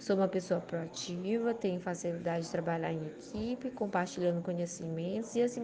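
With a plain, everyday voice, a woman speaks at a medium pitch and a fairly quick pace with ordinary pitch variation. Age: 30s. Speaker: librarian. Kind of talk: video cover letter. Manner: formal.

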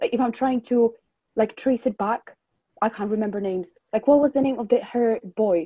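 A woman speaks at a moderate pace with a dark, mellow tone and fairly high pitch. Her pitch varies in an ordinary way, and the sound is dry and close with no echo. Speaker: podcast co-host. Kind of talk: casual chat.

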